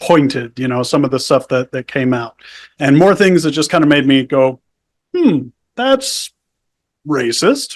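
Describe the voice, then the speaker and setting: At a fairly slow pace with long, frequent pauses, a man speaks at a fairly high pitch with ordinary pitch variation, in a dry, close sound with no echo. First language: Spanish. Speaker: podcast guest, ex-cult member. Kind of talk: casual interview. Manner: casual, filler-heavy.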